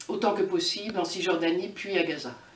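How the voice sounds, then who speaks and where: Noticeable background noise and audible room echo frame a woman's voice at medium pitch. Her intonation is lively and her pace moderate. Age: 60s. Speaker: activist. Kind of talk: interview. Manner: halting, frequent hesitations.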